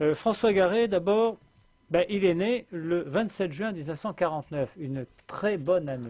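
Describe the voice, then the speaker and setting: This man has a high-pitched voice with lively intonation. He talks at a fairly slow pace. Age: 60s. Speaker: political commentator. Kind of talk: radio interview. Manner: animated.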